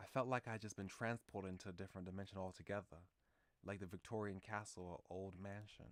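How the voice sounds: A natural reading voice moves with fairly level intonation.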